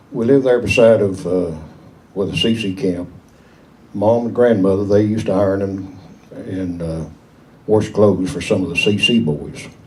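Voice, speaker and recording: Audible room echo surrounds a man with a Southern Appalachian accent and a fairly low voice, who leaves long, frequent pauses. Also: ordinary pitch variation, moderate pace. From East Tennessee, Smoky Mountains. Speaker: local elder telling memories. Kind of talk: storytelling to an audience.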